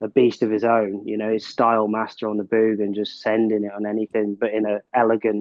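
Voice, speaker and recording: Someone with a Cornish accent talks at a fairly quick pace. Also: man. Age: 40s. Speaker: big wave surfer. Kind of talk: casual chat. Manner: halting.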